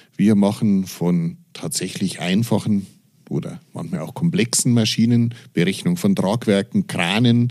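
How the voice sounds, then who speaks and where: A man with a fairly low pitch and a dark, mellow tone speaks at a fairly slow pace with lively intonation. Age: 40s. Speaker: engineering professor. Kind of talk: interview. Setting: university office.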